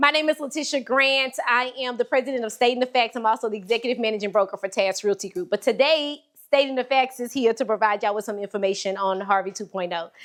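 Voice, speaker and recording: A woman's animated, very fast speech with hardly any pauses, fairly high in pitch, with ordinary pitch variation. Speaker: real estate broker. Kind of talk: presentation.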